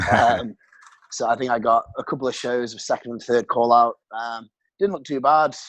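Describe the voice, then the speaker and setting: A man with a British accent speaks at a medium pitch and a moderate pace with ordinary pitch variation and big swings in loudness. The sound is dry and close with no echo, against a quiet background. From England. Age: 20s. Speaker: bodybuilder. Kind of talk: casual chat.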